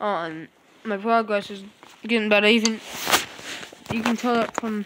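A quiet woman's voice at a fairly high pitch and moderate pace, fairly even in intonation, with a dry sound with no echo and noticeable background noise. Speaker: gaming video creator; mobile gamer. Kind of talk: gameplay commentary. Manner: quiet, holding voice down; halting, many fillers.

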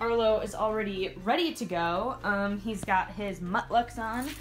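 A woman speaks with ordinary pitch variation against light background noise. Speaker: service dog handler vlogger. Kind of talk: casual vlog chat. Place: bathroom. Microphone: phone near.

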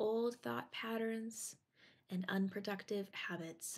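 A woman speaks in a calm, soothing tone at a fairly high pitch. Her voice is somewhat breathy and her pace very slow. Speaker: meditation guide. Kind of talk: guided meditation. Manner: calm, slow, soothing; instructional, paced with pauses.

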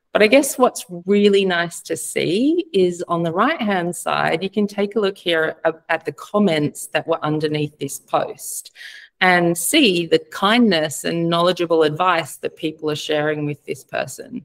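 A woman with a plain, everyday voice and ordinary pitch variation. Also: fairly low pitch for a woman, fairly slow pace, quiet background. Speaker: advertising platform representative. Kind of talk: webinar presentation. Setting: video call. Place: home room.

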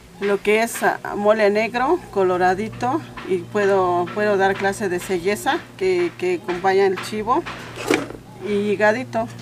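At a fairly slow pace, a woman speaks with ordinary pitch variation over noticeable background noise. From rural Oaxaca, Mexico. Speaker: traditional cook. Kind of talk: cooking demonstration. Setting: home kitchen. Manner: halting. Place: kitchen. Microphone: camera far.

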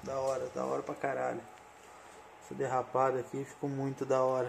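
A man with a medium-pitched voice speaks somewhat breathily. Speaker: collectibles YouTuber. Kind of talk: product review. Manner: casual, enthusiastic.

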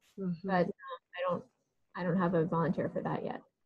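A somewhat breathy voice over a quiet background. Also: woman. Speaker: religious educator. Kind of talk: group discussion. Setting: video call. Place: home room. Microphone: video call.

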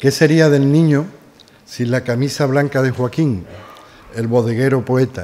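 Fairly even intonation marks this man's dark, mellow tone. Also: medium pitch for a man, fairly slow pace. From Seville, Spain; Spain. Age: 60s. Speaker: doctor and author. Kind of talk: reading aloud from own book. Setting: live event with audience. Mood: nostalgic, lyrical. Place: hall. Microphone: podium.

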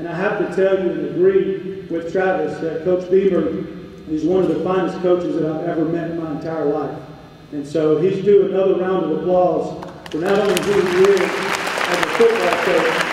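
In a room with strong echo, a man speaks at a moderate pace in a high, monotone voice with flat intonation. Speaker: campus ministry chaplain. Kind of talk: ministry update speech. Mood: warm, faith-focused. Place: hall.

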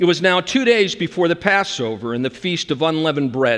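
At a moderate pace, a man speaks while the background stays quiet. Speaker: preacher. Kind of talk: sermon. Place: church. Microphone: headset.

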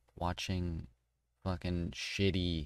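The sound is dry with no echo, over a quiet background. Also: man. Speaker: YouTuber commentator. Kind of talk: commentary. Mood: mocking, casual, profane.

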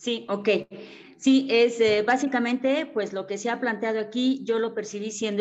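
An unremarkable speaking voice from a woman, fairly slow, with ordinary pitch variation. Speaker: seminar participant, teacher. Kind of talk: discussion contribution. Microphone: choppy internet connection.

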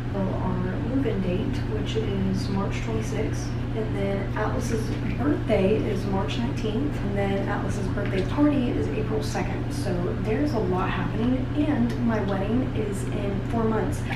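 In a room with audible echo and loud background noise, a woman speaks at a fairly slow pace. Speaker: vlogger. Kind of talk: casual vlog chat. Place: bathroom. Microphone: camera far.

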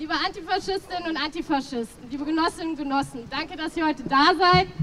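A woman with lively intonation. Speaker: speaker. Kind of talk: political rally speech. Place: street.

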